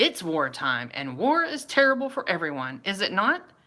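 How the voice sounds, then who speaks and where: A woman performs a put-on character voice that is loud and booming, at a medium pitch. She moves at a moderate pace with very wide pitch swings. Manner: forceful, declarative.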